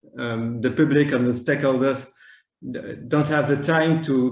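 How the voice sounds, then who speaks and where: With audible room echo, a man of medium pitch speaks in a French accent and a flat monotone. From France. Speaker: maritime planning official. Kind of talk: conference panel talk. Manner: halting, many fillers and repetitions.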